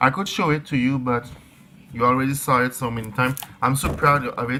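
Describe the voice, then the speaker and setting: The accent is non-native. Delivery moves fairly quickly. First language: not English. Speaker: crystal and spirituality vlogger. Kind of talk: casual vlog talk. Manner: halting, many fillers and restarts.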